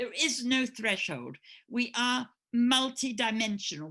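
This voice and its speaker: Very slow, lively speech from a woman with an English accent, a fairly high pitch and a bright, sharp tone, on a very clean recording with a silent background. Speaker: astrologer and spiritual teacher. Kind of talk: interview. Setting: podcast recording. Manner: halting.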